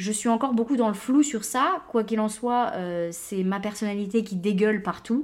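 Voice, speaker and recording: A woman with an ordinary speaking voice talks at a moderate pace, with a fairly high pitch and lively intonation. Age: 20s. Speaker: podcast host. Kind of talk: casual monologue. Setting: home recording at computer.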